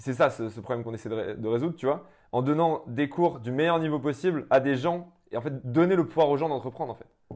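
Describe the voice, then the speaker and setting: A man's fairly high voice moves along fairly quickly, its pitch varying in an ordinary way. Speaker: entrepreneur. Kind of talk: interview. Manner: loud; fast.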